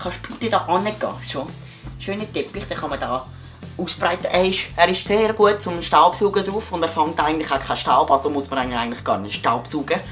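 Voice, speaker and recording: Over music in the background, a man talks at a fairly quick pace in a high voice with lively intonation. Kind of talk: comedic parody of a TV shopping ad. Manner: hesitant, playful.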